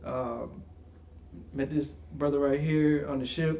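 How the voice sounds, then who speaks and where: Audible room echo surrounds a man with an American accent whose pitch sits fairly high. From upstate New York, Albany area. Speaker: podcast co-host. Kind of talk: casual chat.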